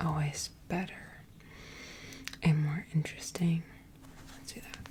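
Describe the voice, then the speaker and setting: Someone whispers at a fairly slow pace in a relaxed tone. Noticeable background noise is present. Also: woman. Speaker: ASMR channel host and artist. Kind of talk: casual soft-spoken ramble to camera. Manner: soft-spoken, relaxed.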